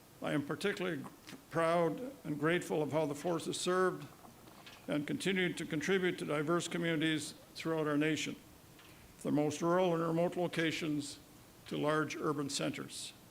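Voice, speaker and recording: A man with a Canadian accent, fairly high-pitched, fairly even in intonation, at a fairly quick pace broken by long, frequent pauses. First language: Woodland Cree. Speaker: provincial vice-regal representative, retired police officer. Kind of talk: ceremonial speech. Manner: formal.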